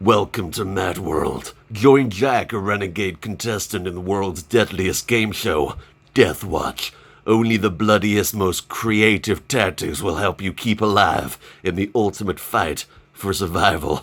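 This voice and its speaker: A man's put-on character voice, fairly low and fairly slow, in a very clean recording with a silent background. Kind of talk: dramatic.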